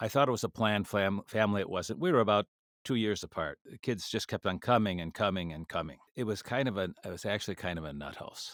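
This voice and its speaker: A man with an Upper Midwest accent speaks with hardly any pauses, ordinary pitch variation and big swings in loudness. The recording is very clean, dry and close, with a silent background and no echo. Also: fairly low pitch for a man. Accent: Upper Midwest American. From Minnesota, US Midwest (Minneapolis suburb). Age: 70s. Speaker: international education expert. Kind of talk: interview storytelling. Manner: halting, many fillers.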